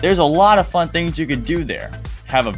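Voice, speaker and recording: A man's voice with music playing in the background. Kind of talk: scripted countdown narration. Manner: slow, loud.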